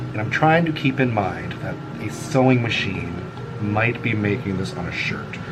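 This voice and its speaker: Music plays in the background as a man with a medium pitch speaks with lively intonation amid audible room echo. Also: moderate pace. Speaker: artist vlogger. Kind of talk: casual chat while drawing. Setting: home art space, on camera.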